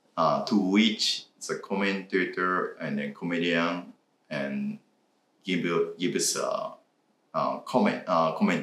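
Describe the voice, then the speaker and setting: A man speaks with a Japanese accent at a fairly slow pace. His speech has long, frequent pauses. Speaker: reaction video co-host. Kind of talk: casual chat. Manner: halting.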